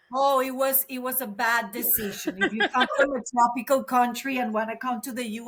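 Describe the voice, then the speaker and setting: A woman's fairly high voice in a Venezuelan accent, with ordinary pitch variation. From Venezuela, Caracas. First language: Spanish. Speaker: counselor. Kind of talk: casual chat.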